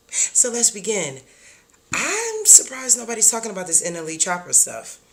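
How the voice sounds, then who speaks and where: Noticeable background noise is audible throughout. The talking proceeds at a moderate pace. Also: woman. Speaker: wellness content creator. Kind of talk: livestream reaction commentary. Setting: live stream.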